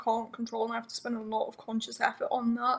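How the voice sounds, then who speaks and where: Her pitch high, a woman talks at a very fast pace. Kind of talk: casual chat.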